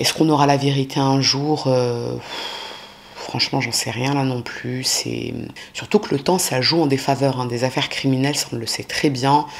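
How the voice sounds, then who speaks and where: The woman's pitch is very deep and low, with fairly even intonation. Noticeable background noise sits behind her. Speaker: true crime youtuber. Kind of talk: casual true crime narration. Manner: fast; casual, many fillers.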